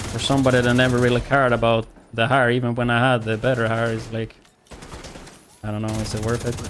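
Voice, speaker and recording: A man's medium-pitched voice at a very fast pace, monotone and flat, with long, frequent pauses and noticeable background noise. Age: 30s. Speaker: gaming streamer. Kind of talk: casual chat. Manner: casual, chatty.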